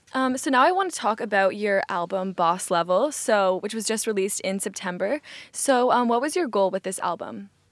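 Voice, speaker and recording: A plain, everyday voice at a fairly quick pace, with lively intonation and hardly any pauses. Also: woman, medium pitch for a woman. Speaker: radio host. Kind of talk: radio interview.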